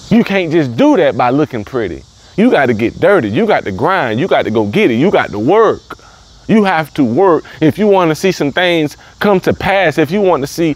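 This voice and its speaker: Noticeable background noise accompanies a man with a Southern US accent. His voice is high-pitched, swings very widely in pitch, and moves at a moderate pace. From US South, the Carolinas. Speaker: motivational speaker. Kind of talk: motivational talk. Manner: repetitive, emphatic.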